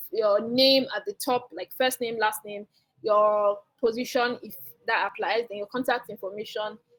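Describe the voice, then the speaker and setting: A woman talks with a fairly high pitch. Her pitch variation is ordinary. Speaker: career guest speaker. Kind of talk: webinar talk with Q&A. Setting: online video call. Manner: fast; casual, hesitant with fillers.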